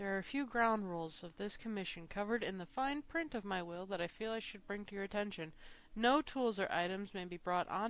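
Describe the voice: Just plain reading aloud.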